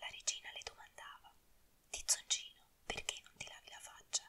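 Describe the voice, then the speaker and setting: Whispered speech comes through noticeable background noise. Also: woman. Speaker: ASMR narrator. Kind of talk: whispered fairy tale reading.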